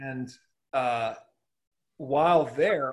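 Man's voice, fairly high in pitch, with a Californian accent. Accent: General American (Californian). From Southern California. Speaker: pastor. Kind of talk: casual interview about church history. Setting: video call.

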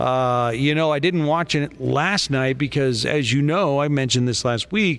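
A man talks at a moderate pace with hardly any pauses, a fairly high pitch, ordinary pitch variation, and very even loudness. It is a normal speaking voice. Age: 50s. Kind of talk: casual chat.

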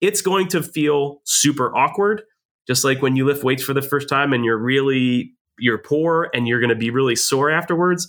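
A man with an ordinary speaking voice and an American accent talks at a fairly high pitch with ordinary pitch variation and very even loudness. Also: moderate pace. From New Jersey, Jersey Shore. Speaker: leadership educator and retired army officer. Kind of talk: interview.

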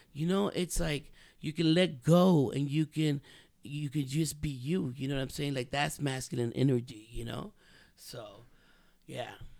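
This man talks at a fairly slow pace in an ordinary speaking voice, with an American accent. His pitch is fairly high for a man, with ordinary pitch variation. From South Central Los Angeles, Mexican family. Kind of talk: casual chat. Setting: studio.

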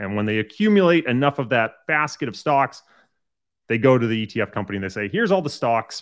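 Against a quiet background, a man talks very fast at a medium pitch with lively intonation. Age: 30s. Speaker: asset manager and quant researcher. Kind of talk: interview.

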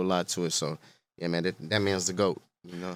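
A very fast, flat, monotone delivery in an American accent, on a very clean recording with a silent background. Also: man. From Stockton, California. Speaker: rapper. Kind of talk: casual chat.

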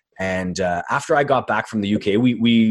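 The speaker is a man. He talks with a Montreal accent. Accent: Montreal anglophone Canadian English. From Canada, Montreal. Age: 30s. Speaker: graphic designer and boxing commentator. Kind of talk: casual chat. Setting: video call.

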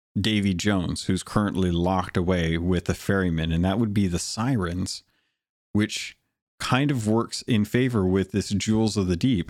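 In a very clean recording with a silent background, a man talks in an unremarkable speaking voice at a fairly low pitch. His pace is moderate, and his pitch varies in an ordinary way. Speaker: podcast host. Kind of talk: casual chat.

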